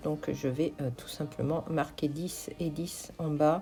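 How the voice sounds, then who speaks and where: A woman speaks with a dark, mellow tone. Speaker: craft and shop vlogger. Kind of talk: vlog voice-over narration. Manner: slow, searching for words; hesitant, many fillers.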